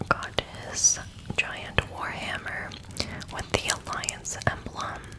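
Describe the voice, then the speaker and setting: Someone whispers at a very slow pace. Noticeable background noise runs beneath. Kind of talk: book reading, lore narration. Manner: whispered, soft.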